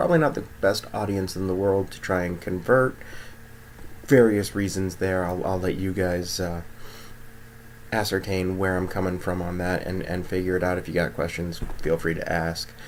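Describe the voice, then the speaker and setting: A man's very deep, low voice at a moderate pace, fairly even in intonation, with audible room echo. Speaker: mental health clinician vlogger. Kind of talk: casual vlog monologue.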